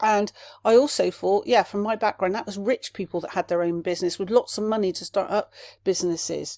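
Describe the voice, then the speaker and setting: A woman speaks at a fairly quick pace in a dark, mellow tone, with a medium pitch and ordinary pitch variation. The sound is dry and close with no echo, in a very clean recording with a silent background. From Somerset, southwest England. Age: 50s. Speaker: podcast host, life coach. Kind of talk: solo podcast monologue. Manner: animated, with filler words; fast when passionate.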